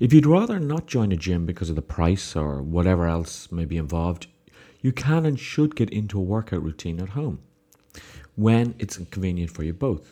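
In an Irish accent, a man speaks at a moderate pace with a very deep, low pitch, a dark, mellow tone and very wide pitch swings. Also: very clean recording, silent background. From Ireland. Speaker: podcast host, success coach. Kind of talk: solo podcast monologue.

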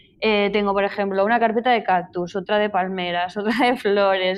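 A woman of medium pitch talks at a fairly quick pace with fairly even intonation. Noticeable background noise is present. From Spain, Zaragoza. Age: 30s. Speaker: painter. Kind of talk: interview. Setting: remote call from her studio.

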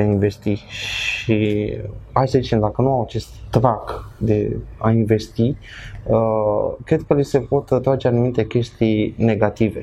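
Noticeable background noise sits behind a man speaking at a very slow pace. His pitch is medium and his loudness very even. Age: 20s. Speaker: esports commentator. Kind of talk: casual chat.

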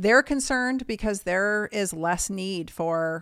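With ordinary pitch variation, the speaker has a normal speaking voice. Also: woman. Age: 50s. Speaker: doctor. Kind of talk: casual interview. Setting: video call.

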